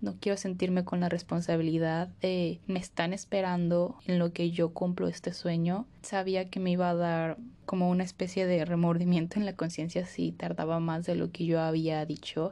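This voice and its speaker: A woman speaks in a Mexican accent at a moderate pace with hardly any pauses, her fairly low voice dark and mellow, her intonation flat and monotone, and her loudness very even. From Mexico, Morelia. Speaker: podcast host. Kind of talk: personal storytelling monologue.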